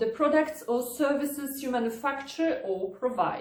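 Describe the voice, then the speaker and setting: Someone speaks with a Polish accent amid audible room echo. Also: woman. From Poland. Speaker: lawyer. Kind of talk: tutorial. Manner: formal.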